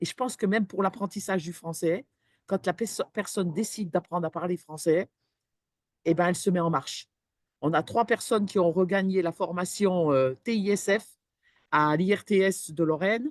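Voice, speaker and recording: Over a quiet background with a dry, close sound and no echo, a woman speaks at medium pitch and a moderate pace, with ordinary pitch variation and long, frequent pauses. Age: 60s. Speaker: employment support professional. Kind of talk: webinar panel discussion. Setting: online webinar. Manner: hesitant, many fillers.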